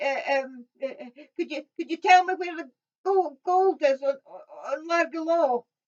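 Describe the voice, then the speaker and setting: A woman's put-on character voice at an extremely high pitch, shaky, at a fairly slow pace with big swings in loudness. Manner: shaky, nervous, hesitant.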